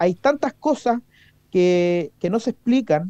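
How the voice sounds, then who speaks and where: Speaking in a Chilean accent, a man with a high pitch and a dark, mellow tone uses lively intonation at a fairly slow pace. The sound is dry and close, with no echo. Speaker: politician. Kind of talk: radio interview. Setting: studio.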